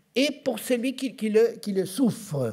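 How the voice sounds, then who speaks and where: A man speaks at a very slow pace. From Argentina. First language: Spanish (speaking French). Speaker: physician. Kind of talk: conference talk. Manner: halting.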